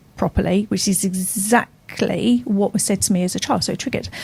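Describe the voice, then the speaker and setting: A woman speaks at a moderate pace in a somewhat breathy voice, her dark, mellow tone set at a medium pitch with ordinary pitch variation. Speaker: radio show co-host. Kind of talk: casual radio conversation. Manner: halting, with repeated words.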